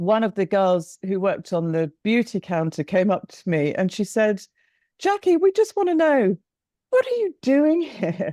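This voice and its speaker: A woman's medium-pitched, dark, mellow voice with very wide pitch swings at a moderate pace, dry and close with no echo, in a very clean recording with a silent background. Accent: English. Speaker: businesswoman, company co-founder. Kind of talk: interview.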